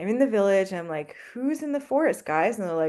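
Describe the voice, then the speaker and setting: This woman's voice has a dark, mellow tone at a medium pitch, and it swings very widely up and down. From Canada. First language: French. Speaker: anthropologist professor. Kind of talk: podcast interview. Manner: animated storytelling.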